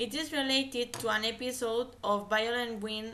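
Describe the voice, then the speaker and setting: Amid audible room echo, a woman with a fairly high voice speaks at a moderate pace with fairly even intonation. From Catalonia, Spain. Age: 20s. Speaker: language student. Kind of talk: class oral presentation. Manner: hesitant, self-correcting.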